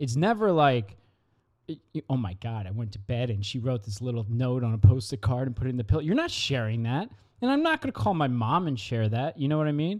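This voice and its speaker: A man speaks in a normal speaking voice at medium pitch, with lively intonation. His pace is fairly quick. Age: 20s. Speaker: podcast co-host. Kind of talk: casual chat.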